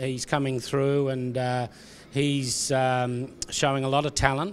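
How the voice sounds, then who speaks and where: Over noticeable background noise, a man with an Australian accent talks very slowly at medium pitch in a monotone, flat intonation. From South Australia. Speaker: racehorse trainer. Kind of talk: interview answer.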